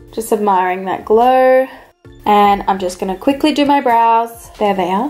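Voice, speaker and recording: A woman's fairly high-pitched voice at a moderate pace, set against noticeable background noise. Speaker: beauty vlogger. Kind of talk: tutorial. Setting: voice-over. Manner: flat, unenthusiastic-sounding.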